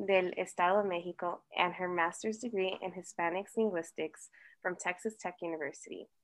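A woman with an American accent has an ordinary speaking voice at medium pitch and speaks with fairly even intonation. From US, Colombian parents. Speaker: podcast co-host.

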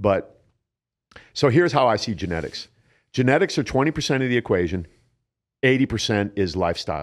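This man has a medium pitch, an American accent and vocal fry, with very wide pitch swings. He speaks fairly quickly with long, frequent pauses, on a very clean recording with a silent background. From Ohio, US Midwest (Canton). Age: 60s. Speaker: bodybuilder and fitness coach. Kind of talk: casual interview. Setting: studio.

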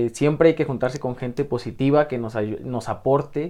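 At a moderate pace, the speaker has a plain, everyday voice and ordinary pitch variation. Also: man. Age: 20s. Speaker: youth life-planning coordinator, former psychology student. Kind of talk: radio interview.

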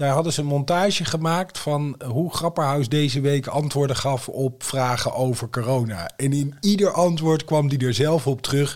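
Ordinary pitch variation marks an unremarkable speaking voice that keeps a moderate pace with hardly any pauses. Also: man, fairly high pitch for a man. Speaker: podcast co-host. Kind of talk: casual chat.

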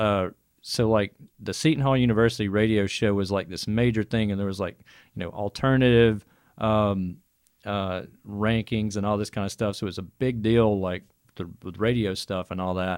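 A fairly low-pitched man with an Alabama accent and fairly even intonation, on a very clean recording with a silent background. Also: moderate pace. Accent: Southern US (Alabama). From Birmingham, Alabama. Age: 40s. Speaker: metal band member.

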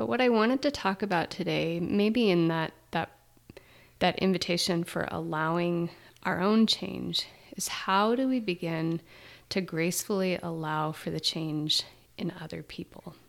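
An ordinary speaking voice at a fairly slow pace with ordinary pitch variation, in a very clean recording with a silent background. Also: woman, fairly low pitch for a woman. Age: 40s. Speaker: therapist and podcast co-host. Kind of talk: reflective casual conversation.

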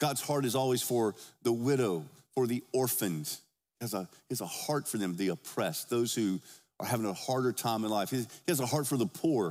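Lively intonation marks this man's medium-pitched voice at a fairly quick pace. The recording is very clean, with a silent background. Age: 50s. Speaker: pastor. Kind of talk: Sunday sermon, expository preaching with scripture read aloud to a congregation. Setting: church service before a congregation. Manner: conversational and informal, with filler words and self-corrections; earnest, emphatic pulpit delivery with rhetorical call-and-response questions.

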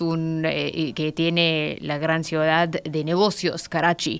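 A woman's fairly low voice at a very slow pace. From Pakistan, near Afghan border. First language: Pashto or Urdu (speaking Spanish). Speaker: political analyst. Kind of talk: radio interview. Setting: radio studio. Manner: halting.

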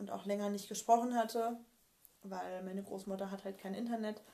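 A woman speaks at medium pitch and a moderate pace, her tone dark and mellow and her intonation monotone and flat. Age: 30s. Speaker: colour and style consultant. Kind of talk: interview about personal grief experiences. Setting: in person at her home.

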